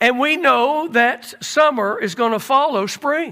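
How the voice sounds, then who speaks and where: An extremely high-pitched man speaks at a fairly slow pace in a raised, projected voice. His tone is animated, bright and sharp, with ordinary pitch variation. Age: 60s. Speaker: pastor. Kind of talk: sermon.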